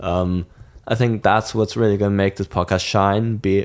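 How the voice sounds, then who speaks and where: On a very clean recording with a silent background, a man with a German accent speaks in a flat monotone at a fairly low pitch. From southern Germany, near Munich. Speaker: student podcast co-host. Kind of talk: casual chat.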